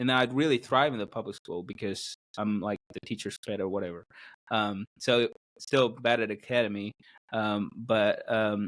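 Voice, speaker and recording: A man with an Indian accent speaks with fairly even intonation. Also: medium pitch for a man, moderate pace. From South India. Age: 20s. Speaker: podcast guest, video producer. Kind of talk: casual interview. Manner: halting, many fillers.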